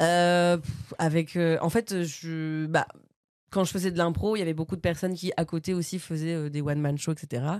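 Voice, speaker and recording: On a very clean recording with a silent background, a plain, everyday voice speaks at a fairly slow pace with fairly even intonation. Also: woman, fairly low pitch for a woman. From Normandy, France (Bernay). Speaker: comedian. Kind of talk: casual chat.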